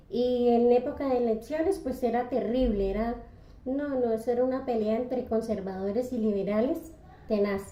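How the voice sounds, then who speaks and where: A woman with a high pitch and ordinary pitch variation speaks at a fairly slow pace, with audible room echo around her. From Colombia, Santander. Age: 60s. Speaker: retired bakery worker. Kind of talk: interview. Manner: halting.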